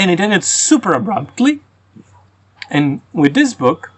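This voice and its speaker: With very wide pitch swings, a man speaks at a fairly slow pace. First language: Croatian and Russian. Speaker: book reviewer. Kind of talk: casual review monologue. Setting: outdoors. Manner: halting, with frequent repetitions.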